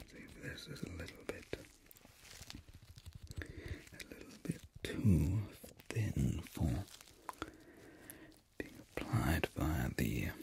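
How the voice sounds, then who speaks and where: A man is whispering and mumbling at a fairly slow pace. He leaves long, frequent pauses. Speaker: pretend ear cleaner. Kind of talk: ASMR roleplay ear cleaning, mumbling to the listener. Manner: soft-spoken, slow, mumbly. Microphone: studio mic.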